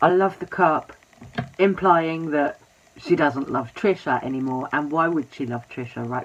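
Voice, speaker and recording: The voice is quiet and comes at a fairly slow pace. Noticeable background noise runs underneath. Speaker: YouTube drama commentator. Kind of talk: casual commentary vlog.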